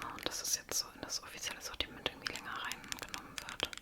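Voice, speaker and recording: A woman whispers at a moderate pace. Noticeable background noise runs underneath. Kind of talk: ASMR makeup show and tell, casual talk to camera. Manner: whispered, soft-spoken.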